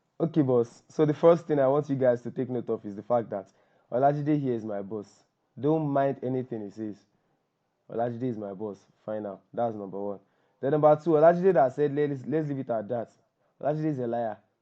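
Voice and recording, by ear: A man at medium pitch and a fairly quick pace, with ordinary pitch variation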